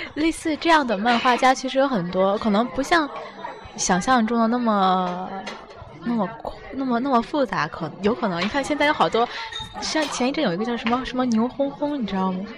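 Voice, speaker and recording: A fairly high-pitched woman's voice at a fairly quick pace, with music in the background. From China, Tianjin. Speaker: podcast host, student. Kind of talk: casual interview. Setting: restaurant.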